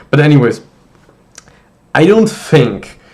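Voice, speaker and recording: A man with a German accent. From Germany. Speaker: university student vlogger. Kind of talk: casual vlog monologue. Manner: casual with many fillers and false starts.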